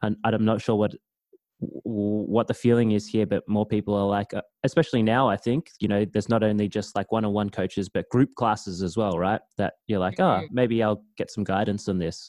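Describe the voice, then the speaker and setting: With an Australian accent, a man speaks at a fairly quick pace and a fairly low pitch. His intonation is fairly even, and the sound is dry and close with no echo. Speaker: podcast host. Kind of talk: interview. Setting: video call.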